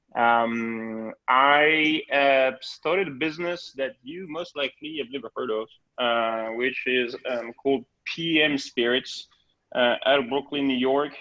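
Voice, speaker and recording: This man talks at a fairly slow pace with a French accent, a fairly high pitch and ordinary pitch variation. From France, Bordeaux countryside. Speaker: spirits importer. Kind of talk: virtual tasting talk. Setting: video call. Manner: halting, many fillers.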